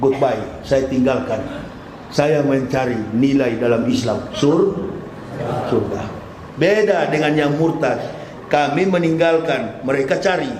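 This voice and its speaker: Heard with noticeable background noise and audible room echo, a man talks at a fairly slow pace. His intonation is lively. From North Sulawesi (Manado). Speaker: Islamic preacher. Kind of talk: sermon. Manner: animated.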